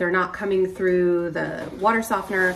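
A woman talks with ordinary pitch variation over light background noise. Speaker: homeowner vlogger. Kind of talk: casual vlog chat. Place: kitchen. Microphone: phone near.

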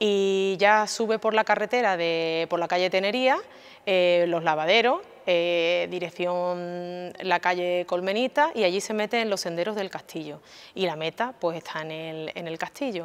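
At a fairly slow pace, a woman talks with a fairly low pitch and ordinary pitch variation. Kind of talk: interview answer. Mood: friendly, upbeat. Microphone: lapel.

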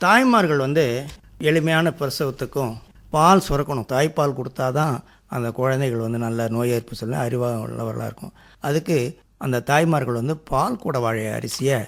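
Heard in a very clean recording with a silent background, a man with an ordinary speaking voice talks at medium pitch with ordinary pitch variation. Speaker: retired headmaster turned organic farmer. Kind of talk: radio interview. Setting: radio studio.

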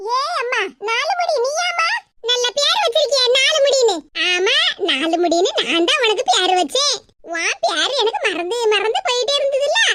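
A cartoonish character voice leaps through very wide pitch swings. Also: woman, extremely high pitch for a woman, moderate pace. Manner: scolding, sarcastic.

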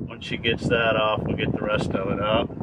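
There is loud background noise. A man speaks over it at a moderate pace. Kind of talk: casual vlog chat. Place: boat. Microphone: camera far.

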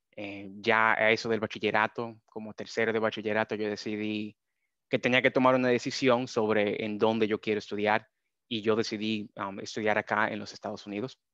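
A man's monotone, flat delivery at a fairly quick pace, dry with no echo, over a quiet background. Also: fairly low pitch for a man. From Dominican Republic. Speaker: data scientist. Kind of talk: webinar presentation. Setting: video call. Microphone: video call.

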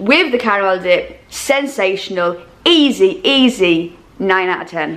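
A woman talks with ordinary pitch variation. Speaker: food reviewer. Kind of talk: casual vlog chat. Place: home room. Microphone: phone near.

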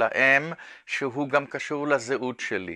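A man speaks in a fairly high voice with a bright, sharp tone. The background is quiet. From Israel. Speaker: art professor and artist. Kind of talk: interview monologue. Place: studio.

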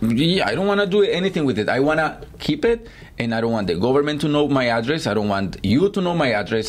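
Speaking at a fairly quick pace, the man's pitch swings very widely. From Guatemala. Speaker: guest, crypto user; guest. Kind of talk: casual chat. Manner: halting, repetitive. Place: office. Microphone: studio mic.

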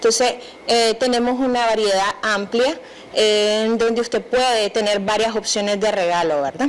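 At a moderate pace, a woman with a fairly high pitch and a plain, everyday voice keeps her loudness very even, her pitch varying in an ordinary way. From Nicaragua. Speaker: crafts entrepreneur. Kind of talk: TV interview. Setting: TV studio. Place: studio. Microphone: handheld.

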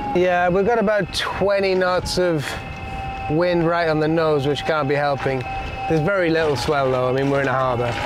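A man at a moderate pace with ordinary pitch variation, dry with no echo, over noticeable background noise. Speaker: sailing video host. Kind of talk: casual conversation. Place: boat. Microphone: lapel.

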